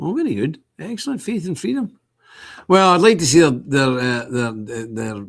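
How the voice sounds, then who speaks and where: On a very clean recording with a silent background, a man with a Scottish accent speaks fairly quickly in an animated tone. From Scotland. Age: 60s. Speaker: online talk show host. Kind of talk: casual livestream chat reading viewer comments. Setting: office.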